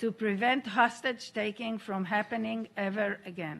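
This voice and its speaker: A woman talks at a moderate pace in a normal speaking voice with ordinary pitch variation. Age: 60s. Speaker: hostage survivor and aid organization founder. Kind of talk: testimony. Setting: UN Security Council meeting. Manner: formal.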